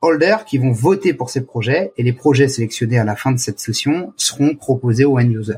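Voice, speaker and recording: A man speaks at a moderate pace with a medium pitch, ordinary pitch variation and a somewhat breathy quality, on a very clean recording with a silent background. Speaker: startup founder and CEO. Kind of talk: interview. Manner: halting; passionate.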